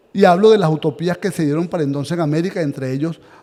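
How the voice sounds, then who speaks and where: Noticeable background noise sits behind a man who talks with ordinary pitch variation. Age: 60s. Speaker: historian and author, seminar lecturer. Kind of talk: lecture. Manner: halting, with frequent repetitions.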